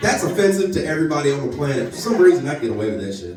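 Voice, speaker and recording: A man's fairly high voice with an American accent, amid noticeable background noise and audible room echo. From North Louisiana. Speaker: comedian. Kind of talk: stand-up. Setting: stage with audience. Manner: animated.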